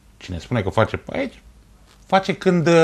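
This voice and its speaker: A man's speech runs fairly quick, his pitch swinging very widely. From Romania, Ploiești; Romania. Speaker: sports TV host. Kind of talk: TV talk show interview. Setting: TV studio. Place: studio.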